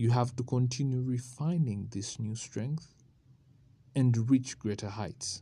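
A man's somewhat breathy voice at a medium pitch, dark and mellow in tone, with ordinary pitch variation and a fairly slow pace. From Uganda. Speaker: podcaster. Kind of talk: solo motivational monologue. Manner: casual, conversational.

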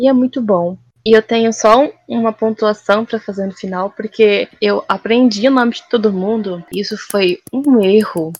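With an ordinary speaking voice, a woman at a fairly high pitch talks at a moderate pace with ordinary pitch variation and hardly any pauses, in a dry, close sound with no echo. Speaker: podcast co-host. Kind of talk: casual chat. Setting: remote recording.

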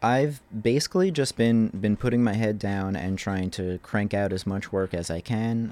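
A man with an American accent has an ordinary speaking voice and ordinary pitch variation. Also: very clean recording, silent background. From New Jersey, Manahawkin. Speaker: visual artist. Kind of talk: interview. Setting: home studio.

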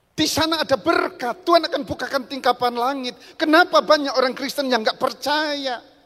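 A woman speaks in an animated tone at a high pitch, with ordinary pitch variation. Her pace is fairly quick, with hardly any pauses. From Central Java, Rembang. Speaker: pastor. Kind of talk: sermon.

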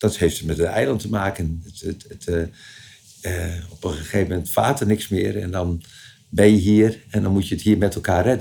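A somewhat breathy, dark and mellow tone at a moderate pace, with ordinary pitch variation. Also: man, very deep, low pitch for a man. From Friesland, Leeuwarden. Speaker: local dialect expert. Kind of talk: interview. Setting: attic office of a museum. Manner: halting.

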